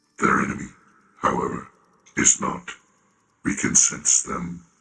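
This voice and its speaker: A man speaks at a moderate pace in a put-on, raspy character voice pitched very deep and low. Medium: read story. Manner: terse, emotionless.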